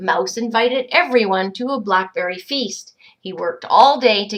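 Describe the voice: The background is quiet as the text gets plain reading aloud.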